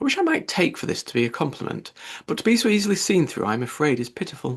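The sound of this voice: Doing a put-on character voice, a man talks fast at a fairly high pitch with very wide pitch swings and a slightly husky edge, on a very clean recording with a silent background.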